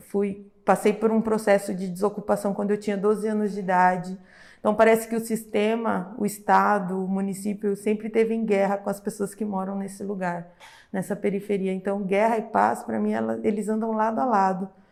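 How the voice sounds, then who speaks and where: In a very clean recording with a silent background, a woman of medium pitch speaks in a flat monotone. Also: moderate pace. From São Paulo, Capão Redondo (south periphery). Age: 30s. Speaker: social educator. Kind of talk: podcast interview.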